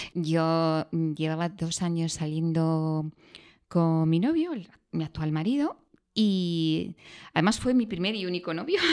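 A woman speaks at a very slow pace and fairly low pitch with ordinary pitch variation. The recording is very clean with a silent background. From Andalusia, near Granada. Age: 50s. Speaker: executive. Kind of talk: interview.

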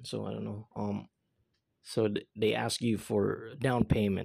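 A man speaks with a Filipino accent at a fairly low pitch, his tone dark and mellow. The recording is very clean, with a silent background. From Philippines. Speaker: podcaster. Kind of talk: casual monologue. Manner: lots of filler words.

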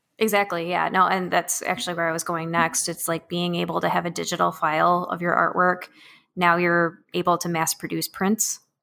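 On a very clean recording with a silent background, a woman speaks at a fairly quick pace and fairly low pitch, her tone bright and sharp and her intonation flat and monotone. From northern Illinois, Rockford. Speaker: artist and maker. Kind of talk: casual chat.

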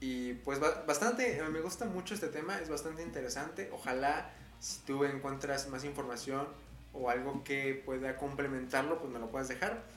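A central Mexican accent at a moderate pace, with ordinary pitch variation, audible room echo and noticeable background noise. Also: man, fairly high pitch for a man. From Mexico, Puebla. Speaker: podcast host. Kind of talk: casual solo monologue. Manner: hesitant, many fillers.

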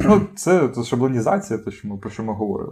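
A man speaks at a moderate pace in a medium pitch, with noticeable background noise. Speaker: podcast co-host. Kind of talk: casual chat. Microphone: cheap poor-quality microphone.

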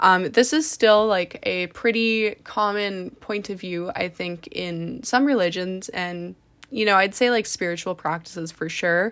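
A woman with a Canadian accent talks in a normal speaking voice at medium pitch with ordinary pitch variation. Her pace is fairly slow with hardly any pauses, on a very clean recording with a silent background. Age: 20s. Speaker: podcast host and fashion model. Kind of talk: solo podcast monologue.

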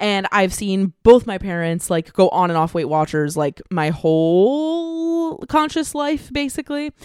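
A woman with an American accent speaks at a medium pitch with very wide pitch swings. The recording is very clean, with a silent background. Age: 20s. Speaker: podcaster and multidisciplinary artist. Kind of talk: casual chat.

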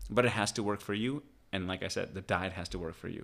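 Here a man talks at a very fast pace in a fairly low pitch. His intonation is fairly even, on a very clean recording with a silent background. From Pakistan and Oman, then New York State from age ten. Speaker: chiropractor. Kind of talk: casual interview. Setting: in-person at host's home.

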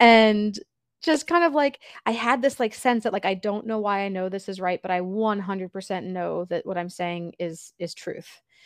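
A woman with an ordinary speaking voice speaks at a medium pitch with ordinary pitch variation. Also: moderate pace. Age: 30s. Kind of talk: interview.

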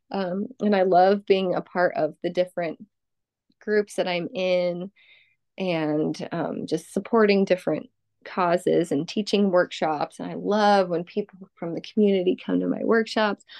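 A woman's normal speaking voice, medium in pitch, fairly slow and with fairly even intonation. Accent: American. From Southern California. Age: 30s. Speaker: energy healer. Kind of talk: casual chat.

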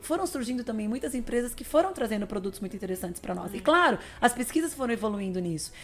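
A woman's fairly high voice, very fast, with very wide pitch swings and noticeable background noise. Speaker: nutritionist and athlete. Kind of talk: interview conversation.

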